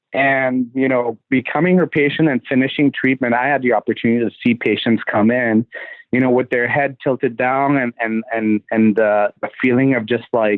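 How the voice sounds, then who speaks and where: At a medium pitch, a man with a slight Trinidadian accent talks at a moderate pace. His loudness is very even and his intonation fairly even. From Trinidad and Tobago. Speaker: dentist. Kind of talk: podcast interview. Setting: podcast recording.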